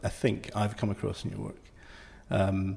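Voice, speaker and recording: This man's voice is somewhat breathy and sits fairly low in pitch. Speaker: podcast interviewer. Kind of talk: interview question.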